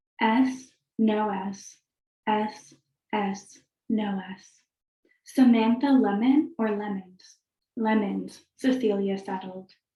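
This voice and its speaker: Somewhat breathy, a woman speaks very slowly, her loudness swinging widely between long, frequent pauses. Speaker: fiction writer. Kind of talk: casual chat; reading aloud. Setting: video call.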